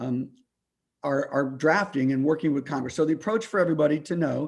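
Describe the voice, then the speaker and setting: Over a quiet background, a man with a fairly high voice talks at a very fast pace. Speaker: climate policy meeting host. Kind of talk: online meeting discussion. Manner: halting, many fillers; normally fast-talking.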